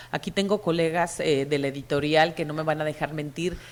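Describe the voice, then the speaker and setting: A woman is speaking. Her pace is moderate. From Mexico. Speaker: publishing executive and cultural manager. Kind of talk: conference panel talk. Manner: hesitant, with repeated fillers.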